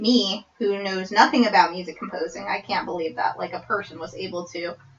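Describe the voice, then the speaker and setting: A woman speaks loudly. Noticeable background noise can be heard. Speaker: podcast discussion participant. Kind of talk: casual chat. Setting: small room recording. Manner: animated. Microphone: far from the mic.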